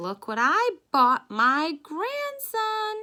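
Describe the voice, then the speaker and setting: A woman does a put-on character voice that is squeaky and extremely high. Her pitch swings are very wide. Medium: read story.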